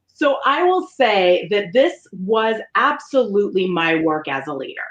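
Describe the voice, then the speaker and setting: A loud woman talks in an American accent. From Colorado. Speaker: leadership facilitator and keynote speaker. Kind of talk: interview. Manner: loud, boisterous.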